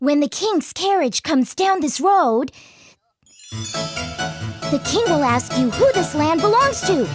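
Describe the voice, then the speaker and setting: Faint background music behind a put-on character voice, delivered at a fairly slow pace. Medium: audio drama. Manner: confident, cheerful.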